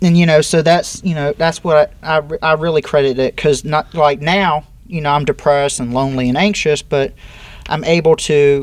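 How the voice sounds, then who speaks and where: A man speaks at a moderate pace in a plain, everyday voice, fairly high-pitched, with fairly even intonation. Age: 30s. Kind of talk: interview.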